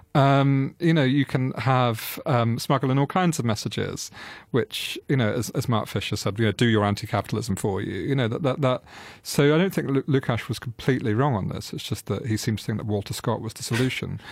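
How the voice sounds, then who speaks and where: A man speaks at medium pitch with ordinary pitch variation and a fairly quick pace. The recording is very clean, with a silent background. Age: 30s. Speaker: culture editor and author on architecture. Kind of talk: interview discussion. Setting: radio studio. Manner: hesitant, repeats words.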